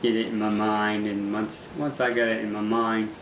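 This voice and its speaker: A man speaks at a fairly slow pace with a medium pitch. Audible room echo and noticeable background noise fill the recording. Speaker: fisherman, former prisoner. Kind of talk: interview testimony. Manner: halting, repeats words.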